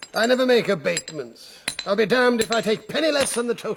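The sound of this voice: In a put-on character voice, a man speaks at a fairly quick pace with a high pitch, lively intonation, a slightly husky edge and vocal fry.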